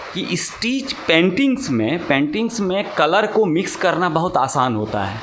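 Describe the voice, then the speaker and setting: A man talks at a high pitch against noticeable background noise. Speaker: sitar teacher. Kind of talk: interview answer.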